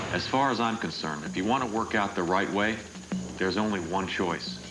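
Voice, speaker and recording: Music plays behind a man's voice. He speaks at a moderate pace. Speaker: actor. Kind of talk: TV infomercial read.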